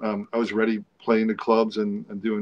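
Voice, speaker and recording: The intonation is flat and monotone, and the sound is dry and close with no echo. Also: man. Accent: New York. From New York. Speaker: rock guitarist. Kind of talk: interview.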